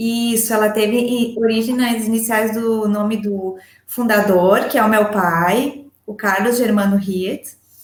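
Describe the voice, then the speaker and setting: There is audible room echo as a woman speaks very slowly in a fairly high pitch with hardly any pauses. Her intonation stays monotone and flat. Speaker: agronomist and poultry farm manager. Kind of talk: interview. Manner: hesitant, many fillers.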